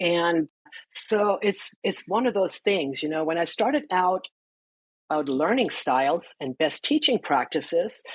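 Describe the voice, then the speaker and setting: In a German accent, a woman speaks at a fairly slow pace and a fairly low pitch, her pitch swinging very widely, with a dry, close sound with no echo and a quiet background. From Germany. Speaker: financial counselor and educator. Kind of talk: interview.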